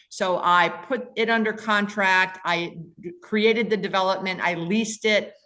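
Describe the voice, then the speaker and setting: With an American accent, a woman uses an unremarkable speaking voice at a medium pitch, keeping a fairly slow pace and fairly even intonation. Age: 60s. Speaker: commercial real estate investor. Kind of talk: podcast interview.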